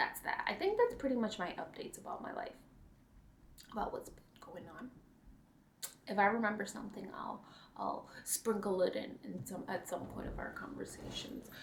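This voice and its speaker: A woman speaks at a moderate pace, leaving long, frequent pauses. Her loudness swings widely, and the room echo is audible. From New York. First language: not English. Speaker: cross-stitch vlogger. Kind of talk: casual chat.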